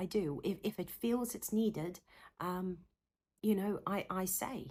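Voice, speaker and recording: A woman with a South African accent on a very clean recording with a silent background. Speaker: psychotherapist. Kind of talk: talking-head Q&A video. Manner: animated; halting.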